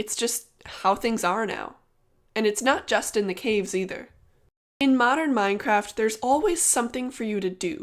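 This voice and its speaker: An unremarkable speaking voice moves at a moderate pace with ordinary pitch variation, captured on a very clean recording against a silent background. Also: woman, fairly high pitch for a woman. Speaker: gaming YouTuber. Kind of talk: video essay narration.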